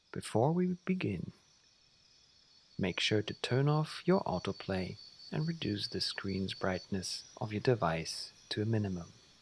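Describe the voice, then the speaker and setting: Somewhat breathy and fairly low in pitch, a man speaks at a fairly slow pace with very wide pitch swings. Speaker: sleep guide. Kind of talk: guided sleep meditation for children. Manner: slow, soft-spoken.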